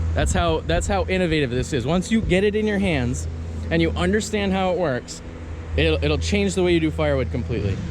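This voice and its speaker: A man talks at a fairly quick pace with very even loudness, audible room echo and noticeable background noise. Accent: American. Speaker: firewood logger, YouTuber. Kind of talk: product review demonstration. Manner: rambling, conversational.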